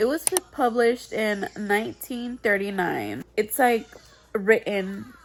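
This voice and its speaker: The voice shows ordinary pitch variation, with noticeable background noise in the recording. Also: woman. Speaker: book vlogger. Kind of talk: casual vlog talk. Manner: casual, filler-heavy.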